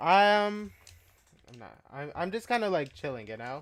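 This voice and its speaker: Long, frequent pauses break up fairly slow speech in a very clean recording with a silent background. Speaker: chess streamer. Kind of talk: casual live stream chat. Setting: home live stream. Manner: quiet, keeping voice down; halting, many fillers and repeats.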